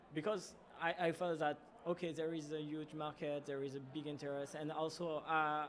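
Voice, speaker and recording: Moderately paced, monotone, flat speech in a French accent over noticeable background noise. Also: man, fairly high pitch for a man. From France. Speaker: startup founder. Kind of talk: casual interview. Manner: halting.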